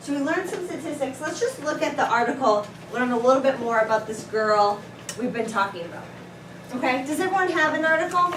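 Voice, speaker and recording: A woman's high-pitched, very fast voice with lively intonation, amid noticeable background noise and audible room echo. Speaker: teacher. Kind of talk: classroom lesson. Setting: classroom.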